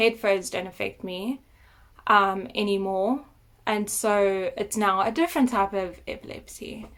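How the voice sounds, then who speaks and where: A woman at a medium pitch with fairly even intonation, in a very clean recording with a silent background. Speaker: vlogger sharing health story. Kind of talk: personal testimony vlog. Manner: halting, with fillers.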